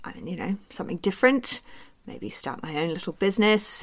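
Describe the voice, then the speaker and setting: This is a woman's voice. She has a New Zealand accent. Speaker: naturopath and practitioner mentor. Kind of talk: solo podcast monologue.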